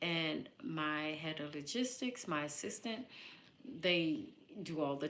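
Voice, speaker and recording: With an American accent, a woman speaks at a fairly slow pace in a very deep, low pitch, her animated tone and lively intonation carrying an audible room echo. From US Northeast, Philadelphia. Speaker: live streamer, matchmaker. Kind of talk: casual live stream talk. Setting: live stream.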